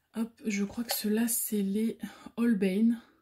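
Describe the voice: A dark, mellow tone with a slightly husky edge, at a slow pace. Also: woman.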